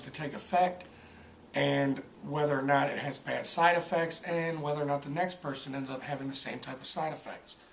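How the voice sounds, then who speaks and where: A man with a fairly high voice talks at a fairly quick pace in a flat monotone, over noticeable background noise. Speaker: film reviewer. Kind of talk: casual film review vlog. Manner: halting, many fillers and stutters.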